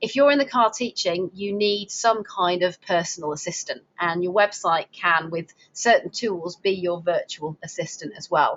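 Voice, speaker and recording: A woman with a Lancashire accent talks at a medium pitch with ordinary pitch variation and hardly any pauses. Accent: Lancastrian. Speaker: webinar presenter for driving instructor association. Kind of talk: webinar presentation. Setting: online webinar. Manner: fast.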